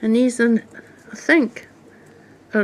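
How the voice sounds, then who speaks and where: A woman with a strong Scottish accent and a fairly high pitch. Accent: very strong Scottish (Fife). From Scotland, Fife. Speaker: mudlarker, beachcombing video creator. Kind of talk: casual show-and-tell of finds. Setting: outdoors on beaches.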